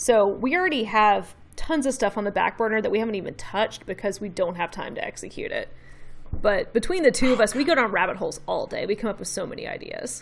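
A woman speaks at a very fast pace. She has a slight Southern US accent. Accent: slight Southern twang. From Memphis, Tennessee, US South. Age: 30s. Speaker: brand designer and illustrator. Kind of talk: casual interview.

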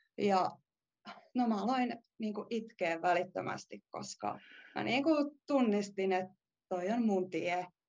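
A woman at a medium pitch, an unremarkable speaking voice, fairly slow in pace and lively in intonation. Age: 20s. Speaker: dance student. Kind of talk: interview.

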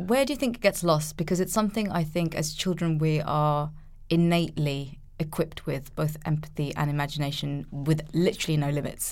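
A woman in a slight London accent, very deep and low in pitch, at a fairly quick pace with ordinary pitch variation. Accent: light London English. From Nepalese-Ukrainian heritage, lives in London. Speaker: podcast co-host. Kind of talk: casual chat.

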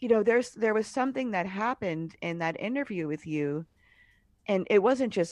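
In an American accent, a plain, everyday voice moves at a moderate pace with lively intonation, recorded dry and close with no echo against a quiet background. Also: woman. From US Northeast (Cambridge, Massachusetts). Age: 50s. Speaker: podcast host and writer. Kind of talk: casual interview. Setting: remote call.

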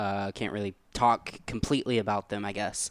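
A plain, everyday voice speaks at a moderate pace with fairly even intonation, the sound dry and close with no echo. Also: man. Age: 20s. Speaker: video editor and podcast co-host. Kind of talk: casual chat. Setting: studio.

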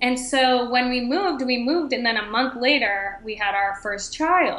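Audible room echo surrounds a woman with an American accent speaking at a moderate pace. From Boston, Massachusetts. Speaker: entrepreneur, stock photographer, former lawyer. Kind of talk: interview.

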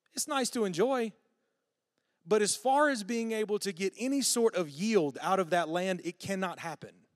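A man's high voice in a Southern US accent, lively in intonation and moderate in pace, on a very clean recording with a silent background. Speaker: guest preacher. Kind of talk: sermon. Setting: church.

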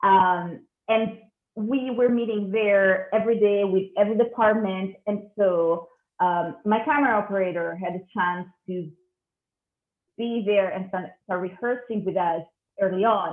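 Speaking at a fairly slow pace, a woman with an Italian accent uses a medium pitch with ordinary variation. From Italy. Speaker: cinematographer. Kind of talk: interview. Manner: hesitant.

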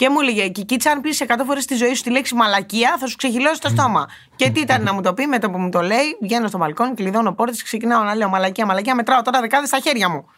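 A woman speaks at a very fast pace with lively intonation and a fairly high pitch. Noticeable background noise is present. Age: 20s. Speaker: podcast co-host. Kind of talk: casual chat.

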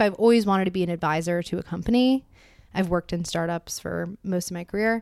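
Speaking at a moderate pace, a woman has medium pitch, ordinary pitch variation and an ordinary speaking voice. The recording is very clean, with a silent background. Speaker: young professional telling a story. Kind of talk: personal storytelling to a small audience. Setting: apartment gathering with about fifteen people.

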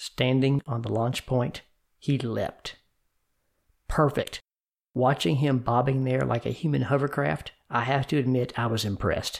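With an American accent, a man speaks at a fairly slow pace in an unremarkable speaking voice, his pitch medium and his intonation fairly even. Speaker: podcast host and educator. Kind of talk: dramatic narration. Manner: measured, suspenseful storytelling.

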